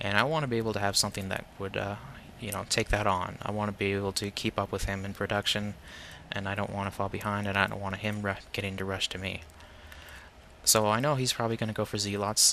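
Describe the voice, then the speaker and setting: A man's fairly low voice, very fast and flat, with a bright, sharp tone. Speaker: gaming commentator. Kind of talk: game commentary. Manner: monotone; hesitant, many fillers.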